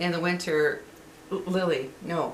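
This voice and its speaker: A woman's fairly even intonation is heard in a room with audible echo and noticeable background noise. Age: 60s. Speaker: vlogger. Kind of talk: casual monologue. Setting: at home. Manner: hesitant, many fillers.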